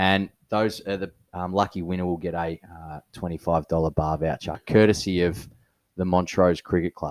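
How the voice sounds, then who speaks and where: In an Australian accent, a man speaks at a very deep, low pitch and a fairly slow pace with monotone, flat intonation, the sound dry and close with no echo on a very clean recording with a silent background. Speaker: podcast co-host, local cricket club. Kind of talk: casual chat.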